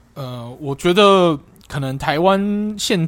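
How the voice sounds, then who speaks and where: A man talks in a Taiwanese accent. The sound is dry and close, with no echo. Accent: Taiwanese Mandarin. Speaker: football podcast co-host. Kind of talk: casual chat.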